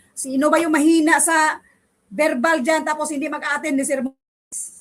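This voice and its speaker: A woman speaks in a high voice with an animated tone. Her pace is moderate. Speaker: online civil service exam review teacher. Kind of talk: online review class wrap-up. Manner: emphatic.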